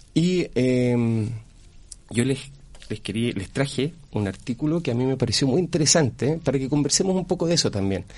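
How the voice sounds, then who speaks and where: He has a plain, everyday voice, a man of medium pitch with lively intonation. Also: moderate pace. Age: 40s. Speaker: school culture coordinator. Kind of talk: radio interview. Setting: radio studio.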